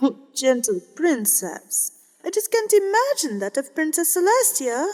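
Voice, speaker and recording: In a put-on character voice, a female-sounding speaker talks at a moderate pace with an extremely high pitch and very wide pitch swings. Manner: warm, sympathetic.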